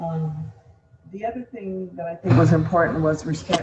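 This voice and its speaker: A woman with a very deep, low pitch and ordinary pitch variation talks over noticeable background noise. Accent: American. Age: 70s. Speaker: former mayor and state legislator. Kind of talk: panel discussion. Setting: virtual panel.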